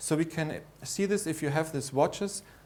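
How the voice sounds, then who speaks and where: A man with a German accent speaks at a fairly high pitch with ordinary pitch variation. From Austria. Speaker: lecturer. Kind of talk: conference lecture. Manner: halting.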